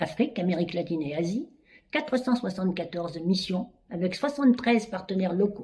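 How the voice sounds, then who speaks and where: A woman's somewhat breathy voice, dark and mellow in tone, with lively intonation at a moderate pace. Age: 80s+. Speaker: charity president. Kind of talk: prepared speech.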